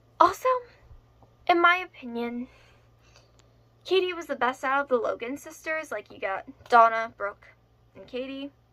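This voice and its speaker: A woman's raised, projected voice, high-pitched, bright and sharp, with lively intonation, big swings in loudness, long, frequent pauses and a moderate pace. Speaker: youtuber. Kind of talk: casual vlog monologue. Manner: slightly slurred.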